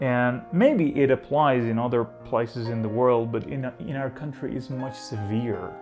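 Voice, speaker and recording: A man with an Iranian accent speaks at a fairly slow pace and medium pitch, with ordinary pitch variation and hardly any pauses. Music plays in the background. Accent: Iranian (Persian). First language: Persian. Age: 20s. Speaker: vlogger. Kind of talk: casual talk to camera.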